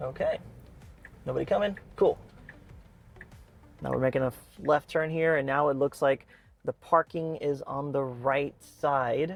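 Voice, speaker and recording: A man at a fairly slow pace, fairly high in pitch, with fairly even intonation, long and frequent pauses, and music in the background. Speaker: EV car reviewer. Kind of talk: live driving commentary. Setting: in a car. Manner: casual, unscripted with stumbles.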